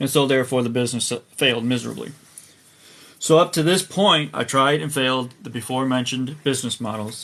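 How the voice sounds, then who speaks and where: A man rattles along at a very fast pace, his pitch medium. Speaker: online marketing content creator. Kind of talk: tiktok livestream personal story. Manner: rambling, hesitant with fillers.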